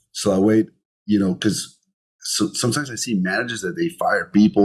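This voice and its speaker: Lively intonation with a Colombian accent at a moderate pace. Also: man. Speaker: entrepreneur, podcast guest. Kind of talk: interview conversation.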